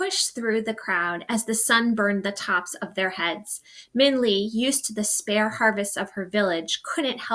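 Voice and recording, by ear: Someone reads aloud in a natural voice, with ordinary pitch variation.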